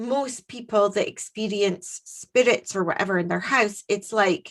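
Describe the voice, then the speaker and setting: With a Scottish accent, a woman speaks at a medium pitch with ordinary pitch variation. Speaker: podcast co-host. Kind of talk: casual chat. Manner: animated.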